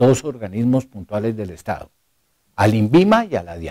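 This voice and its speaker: With a dark, mellow tone, a man speaks at a moderate pace, his pitch swinging very widely, in a dry, close sound with no echo. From Colombia. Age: 60s. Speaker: former diplomat and foreign policy speaker. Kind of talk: lecture.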